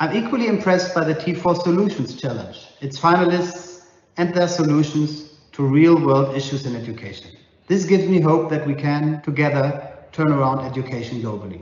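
There is audible room echo as a man speaks at a fairly quick pace with ordinary pitch variation. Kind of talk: prepared video message. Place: home room. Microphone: lapel.

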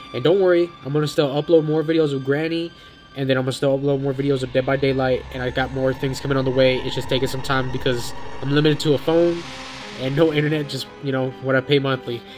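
Clear music plays in the background while a man speaks at a very fast pace with fairly even intonation. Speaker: mobile gamer. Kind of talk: casual gaming commentary. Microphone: phone near.

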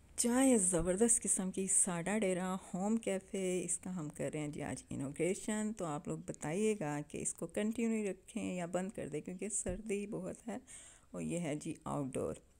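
A woman's dark, mellow tone at a fairly slow pace. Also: ordinary pitch variation. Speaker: vlogger filming the event. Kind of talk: casual vlog chat. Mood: cheerful. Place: home room. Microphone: phone near.

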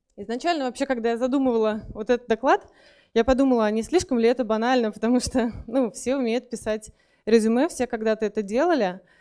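A woman's dark, mellow voice at a very fast pace, with ordinary pitch variation over a quiet background. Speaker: conference speaker. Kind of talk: lecture. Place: hall. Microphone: handheld.

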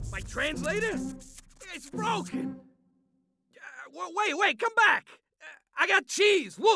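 A raspy, put-on character voice is raised and projected at a fairly slow pace. Music plays in the background. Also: man. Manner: blustery, petulant.

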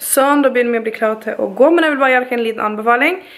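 Noticeable background noise sits behind a woman whose voice is high-pitched. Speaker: vlogger. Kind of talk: vlog.

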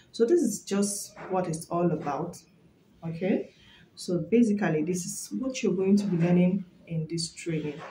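A woman speaks at a moderate pace with ordinary pitch variation. There is light background noise and audible room echo. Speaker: hat-making trainer. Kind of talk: tutorial promo chat. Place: home room. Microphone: phone near.

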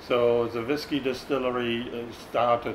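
A man's voice over noticeable background noise. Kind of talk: interview answer. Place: bar. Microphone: lapel.

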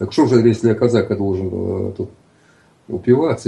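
A man talks at a fairly quick pace in a dark, mellow tone with vocal fry. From Russia, Cossack stanitsa in the south. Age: 60s. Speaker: writer. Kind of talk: casual chat. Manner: halting.

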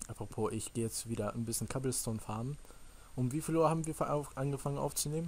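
Somewhat breathy, a man talks at a very fast pace with ordinary pitch variation. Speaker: gaming YouTuber. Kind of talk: Let's Play commentary. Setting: voice chat over Skype/Teamspeak. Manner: animated. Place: home room. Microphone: headset.

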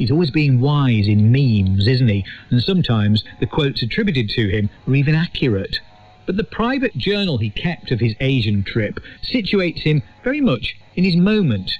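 The speaker moves at a moderate pace with very wide pitch swings, and the sound is dry with no echo. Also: man. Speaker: radio presenter. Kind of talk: scripted narration.

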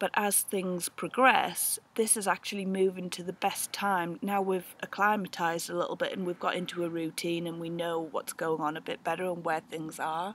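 A woman talks at a moderate pace with hardly any pauses, her intonation fairly even and the sound dry with no echo. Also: fairly low pitch for a woman. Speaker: homesteader vlogger. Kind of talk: casual vlog chat. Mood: relaxed, reflective. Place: open country. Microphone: phone near.

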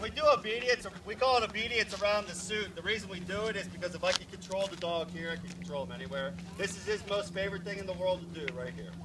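A raised, projected voice talks at a very fast pace with ordinary pitch variation over noticeable background noise. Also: man. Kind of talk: demonstration explanation. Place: street.

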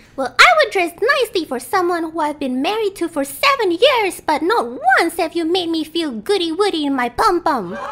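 A female-sounding cartoonish character voice, pitched extremely high. It moves along at a moderate pace. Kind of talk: puppet character voice. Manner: sweet, then sassy and defiant.

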